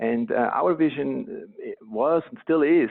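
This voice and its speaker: A man with a Swiss accent. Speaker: company co-founder. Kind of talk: podcast interview.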